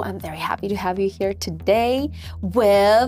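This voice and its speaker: Music runs in the background while a woman speaks at a fairly slow pace. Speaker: interviewer. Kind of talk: interview questions.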